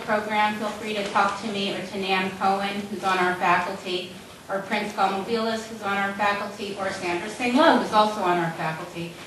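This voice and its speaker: A woman talks at a fairly quick pace with hardly any pauses and fairly even intonation. Light background noise and audible room echo sit in the recording. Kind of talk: event welcome speech. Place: hall.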